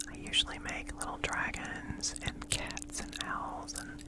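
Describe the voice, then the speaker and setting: A woman whispers at a fairly slow pace. Noticeable background noise can be heard behind her. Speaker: ASMR creator and polymer clay artist. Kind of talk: ASMR show and share, casual talk to camera. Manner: whispered, soft-spoken.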